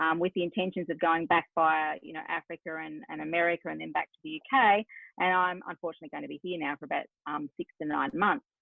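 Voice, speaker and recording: A woman with an Australian accent talks at a very fast pace, with hardly any pauses. Her loudness swings in big jumps. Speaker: business strategist. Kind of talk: podcast interview.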